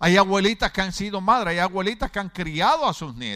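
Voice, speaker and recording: A man with a high pitch raises and projects his voice at a moderate pace. The tone is bright and sharp, and the intonation lively. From Puerto Rico, Ponce. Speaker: pastor. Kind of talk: sermon. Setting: church.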